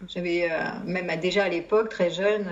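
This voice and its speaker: Over noticeable background noise and audible room echo, a woman speaks at medium pitch and a moderate pace with fairly even intonation. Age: 50s. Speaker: psychologist and psychotherapist. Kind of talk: testimony. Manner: halting.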